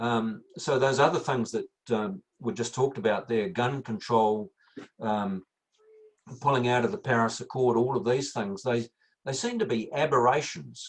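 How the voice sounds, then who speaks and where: A man speaks with a New Zealand accent. His intonation is lively. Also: medium pitch for a man, moderate pace. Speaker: climate scientist. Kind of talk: Q&A interview. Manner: halting, many fillers.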